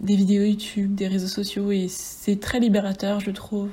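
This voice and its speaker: A woman talks at a medium pitch. Room echo is audible, along with noticeable background noise. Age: 20s. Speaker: podcaster and bookseller apprentice. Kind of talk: casual solo monologue.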